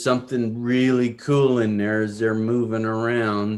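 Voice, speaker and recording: At a very slow pace, a man talks with a medium pitch. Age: 60s. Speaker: snake breeder. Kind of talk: casual interview chat. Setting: video call. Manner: animated.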